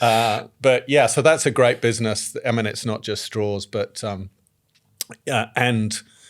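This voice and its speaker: The speaker is a man with fairly even intonation. He talks at a fairly slow pace. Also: medium pitch for a man, very clean recording, silent background. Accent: English. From England. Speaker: company CEO. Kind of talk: podcast interview. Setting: studio. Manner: casual, with many fillers.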